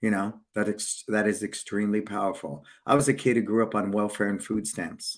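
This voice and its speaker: A man with a plain, everyday voice talks at a fairly quick pace with hardly any pauses. His pitch is fairly low and his intonation fairly even. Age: 60s. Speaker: martial arts school owner and business show host. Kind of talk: casual business interview chat. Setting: live stream video call.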